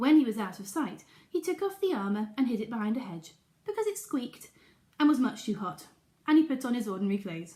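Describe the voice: The intonation moves in a lively way. It is plain reading aloud.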